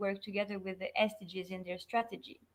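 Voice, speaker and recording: A woman speaks with a French accent. Her pitch is medium. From France. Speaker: sustainability consultant. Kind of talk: online interview.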